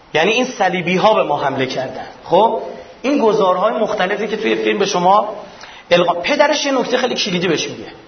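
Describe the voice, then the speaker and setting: A man's high-pitched voice, very fast and lively in intonation, with noticeable background noise and audible room echo. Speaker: lecturer. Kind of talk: lecture. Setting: stage with audience.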